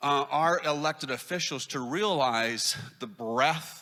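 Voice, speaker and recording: At a fairly slow pace, a man with an American accent speaks with a fairly high pitch, ordinary pitch variation and a bright, sharp tone. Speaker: arts advocacy expert. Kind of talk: conference talk. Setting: stage with audience. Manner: halting.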